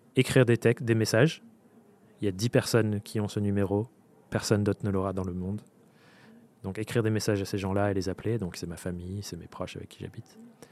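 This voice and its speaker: This man's voice sits fairly low, with fairly even intonation. He talks very fast but leaves long, frequent pauses. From France, Dordogne. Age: 20s. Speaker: freelance coach and podcaster. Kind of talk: casual interview. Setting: live recording at a festival with audience.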